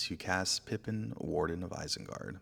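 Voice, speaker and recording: A man has a normal speaking voice, fairly low in pitch. He talks at a fairly slow pace with ordinary pitch variation. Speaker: ASMR creator, game narrator. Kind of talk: card game play-by-play narration.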